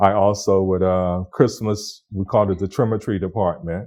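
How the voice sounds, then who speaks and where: A man with a very deep, low pitch, a dark, mellow tone, monotone, flat intonation and an American accent, on a very clean recording with a silent background. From Florida, USA. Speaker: cultural heritage leader. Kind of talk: oral history interview answer.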